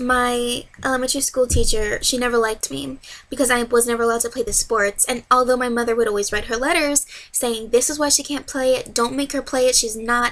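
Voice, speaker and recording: A woman's high, flat, monotone voice at a fairly quick pace. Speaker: vlogger with hydrocephalus. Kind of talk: personal vlog. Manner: fast; loud when passionate.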